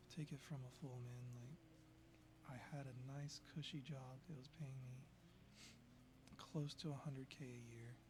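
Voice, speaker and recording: A soft-spoken man, somewhat breathy at a medium pitch, in a monotone, flat intonation at a fairly slow pace with long, frequent pauses. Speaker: former software developer. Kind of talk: casual talk to camera.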